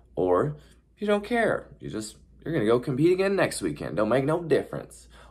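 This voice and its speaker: A man's voice with very wide pitch swings. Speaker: horse trainer and YouTuber. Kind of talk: casual vlog talk. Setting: hotel room. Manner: fast.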